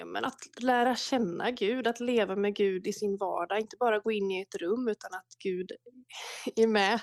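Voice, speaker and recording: A woman speaks in a plain, everyday voice at medium pitch and a fairly slow pace. Her intonation is fairly even, and the sound is dry and close with no echo. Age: 30s. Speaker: prayer movement leader. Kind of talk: casual interview. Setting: remote call from home.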